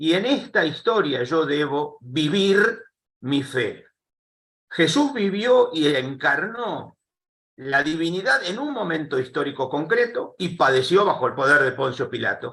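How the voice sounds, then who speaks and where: With a bright, sharp tone and very wide pitch swings, a high-pitched man talks at a fairly slow pace. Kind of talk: panel interview. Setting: live streamed call.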